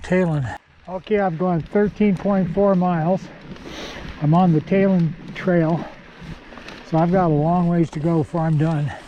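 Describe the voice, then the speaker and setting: A man's high voice at a moderate pace, fairly even intonation, long and frequent pauses, noticeable background noise. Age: 80s+. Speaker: mountain biking vlogger. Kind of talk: solo ride commentary. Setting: outdoors on a mountain bike trail. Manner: casual, intermittent.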